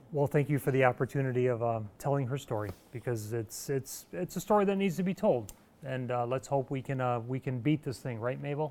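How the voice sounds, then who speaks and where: This man has an American accent and a plain, everyday voice. He talks at a fairly quick pace with ordinary pitch variation. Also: medium pitch for a man. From Northern New York (North Country). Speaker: TV weather forecaster and parent. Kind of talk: interview. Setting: studio.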